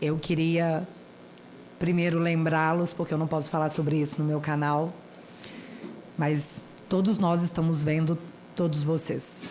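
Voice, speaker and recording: In a room with audible echo, a woman speaks at a fairly slow pace in a very deep, low voice, her intonation monotone and flat, her loudness very even, and her pauses long and frequent. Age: 30s. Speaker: citizen speaker at a senate hearing. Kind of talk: formal public testimony.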